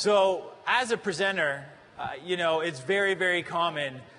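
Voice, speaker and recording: A man with a Canadian accent speaks with ordinary pitch variation, and audible room echo surrounds his voice. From Canada. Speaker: tech conference presenter. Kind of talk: conference presentation.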